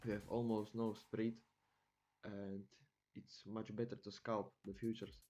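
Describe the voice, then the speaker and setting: A man with a non-native accent speaks at a fairly low pitch in a monotone, flat intonation. His speech has long, frequent pauses over music in the background. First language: not English. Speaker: futures trader. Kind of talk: screen-share tutorial. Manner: halting, with many fillers.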